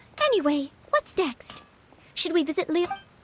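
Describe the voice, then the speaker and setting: Putting on a squeaky character voice, a woman speaks at a moderate pace with lively intonation and an extremely high pitch. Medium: video game. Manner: polite, modest.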